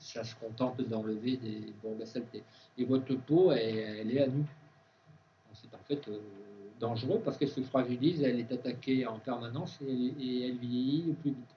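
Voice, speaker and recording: In a room with audible echo, a man with a medium-pitched, somewhat breathy voice speaks at a moderate pace with fairly even intonation, long and frequent pauses, and big swings in loudness. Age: 60s. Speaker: organic food expert and speaker. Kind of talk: conference talk with Q&A. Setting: university conference with students. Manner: hesitant, many fillers and restarts.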